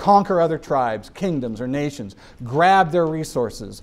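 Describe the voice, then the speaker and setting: A man with a plain, everyday voice, at a moderate pace, with ordinary pitch variation. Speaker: activist speaker. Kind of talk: public talk.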